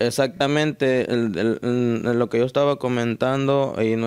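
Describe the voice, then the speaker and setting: Fairly even intonation marks a man's fairly slow delivery. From Mexico, Guerrero (Tecpan); Guerrero, Mexico. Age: young. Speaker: painter and folk dancer. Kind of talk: interview. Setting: at home. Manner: halting. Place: home room. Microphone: handheld.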